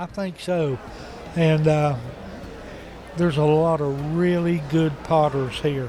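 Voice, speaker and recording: With a Southern US accent, the speaker goes at a very slow pace with long, frequent pauses amid noticeable background noise. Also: man, fairly high pitch for a man, fairly even intonation. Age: 70s. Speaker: potter. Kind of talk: casual interview. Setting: pottery festival booth.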